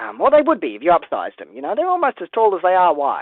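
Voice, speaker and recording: A woman with an Australian accent. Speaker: toy building live streamer. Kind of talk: live stream build commentary. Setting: live stream from home. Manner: casual, hesitant with fillers.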